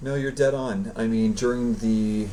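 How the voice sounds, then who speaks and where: Audible room echo surrounds a man speaking at a fairly slow pace in a Canadian accent. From Canada. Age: 30s. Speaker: professional beach volleyball player. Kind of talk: interview. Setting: live stream.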